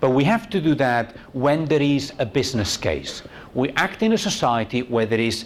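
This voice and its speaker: With a Spanish accent, a man at medium pitch swings very widely in pitch over noticeable background noise. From Spain. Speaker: university tourism researcher, conference speaker. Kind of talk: conference talk. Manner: conversational, frequent "okay?" and fillers.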